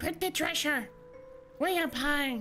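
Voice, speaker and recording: A put-on character voice speaks at a high pitch, with clear music in the background. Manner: intense, squawking.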